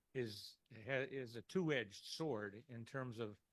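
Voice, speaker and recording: A man at a medium pitch and a moderate pace. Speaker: audience member. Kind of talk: audience question. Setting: community meeting in a Quaker meetinghouse.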